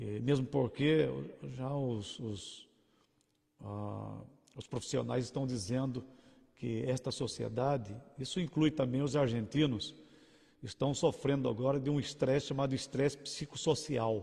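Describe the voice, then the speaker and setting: A man speaks at a fairly slow pace, with a dark, mellow tone that is somewhat breathy. His intonation is fairly even, broken by long, frequent pauses. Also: medium pitch for a man. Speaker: pastor. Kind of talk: sermon. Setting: livestream. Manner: halting.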